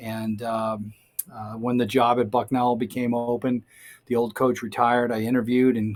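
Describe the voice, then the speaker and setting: A man with an American accent, medium pitch, monotone, flat intonation and a moderate pace. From Massachusetts, Boston area (Quincy). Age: 60s. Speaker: college golf coach, Marine veteran. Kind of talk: interview.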